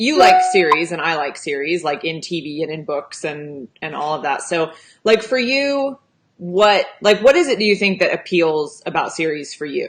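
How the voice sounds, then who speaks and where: A woman with a West Coast US accent has a fairly low pitch. She speaks at a moderate pace with lively intonation. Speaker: romance author and livestream host. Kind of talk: casual chat. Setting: livestream.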